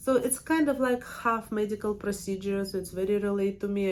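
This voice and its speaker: A woman with a strong Russian accent speaks at a moderate pace. Her pitch is medium and her intonation fairly even. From Russia, Siberia. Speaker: permanent makeup artist and trainer. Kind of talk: casual personal vlog. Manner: hesitant, with fillers.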